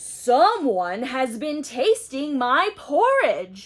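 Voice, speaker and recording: A put-on character voice growls at a high pitch, swinging very widely in pitch at a very slow pace. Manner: growling.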